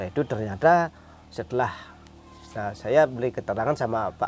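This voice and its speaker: Over light background noise, a man speaks with lively intonation in a dry sound with no echo. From Bali, Karangasem; Bali. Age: 40s. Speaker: farmer and village leader. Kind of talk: interview. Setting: outdoors. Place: open country.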